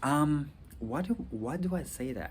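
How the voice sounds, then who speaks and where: Vocal fry from a man, with audible room echo. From Rwanda. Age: 30s. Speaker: vlogger, law student. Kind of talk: casual vlog monologue. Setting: outdoors. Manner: halting, many fillers.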